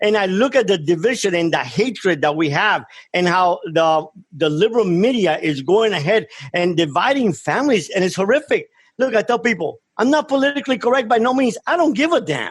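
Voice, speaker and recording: With a Miami accent, a man speaks high-pitched and fairly quickly, his pitch swinging very widely while his loudness stays very even. The recording is very clean, with a silent background. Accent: Cuban-American Miami. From Cuba, raised in Miami from age ten. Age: 60s. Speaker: former drug trafficker turned speaker. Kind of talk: radio interview. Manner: impassioned.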